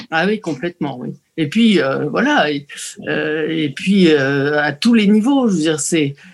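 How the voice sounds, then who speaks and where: A woman's very deep, low voice with lively intonation. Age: 70s. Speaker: senior gamer, association ambassador. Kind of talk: interview.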